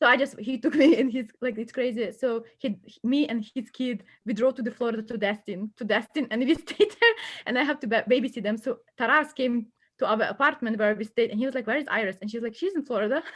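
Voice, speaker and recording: A woman with a Ukrainian accent, high in pitch, animated in tone, very fast in pace, with ordinary pitch variation. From western Ukraine, Lviv. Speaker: immigrant student guest. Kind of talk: casual chat.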